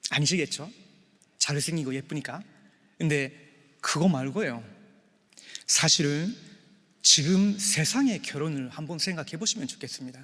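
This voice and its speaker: A man with a fairly high, bright and sharp voice speaks at a fairly slow pace, with ordinary pitch variation and long, frequent pauses. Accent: non-native. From Japan. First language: Japanese (speaking Korean). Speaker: pastor officiating a wedding. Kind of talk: wedding sermon. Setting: church wedding ceremony with guests. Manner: halting, many filler sounds.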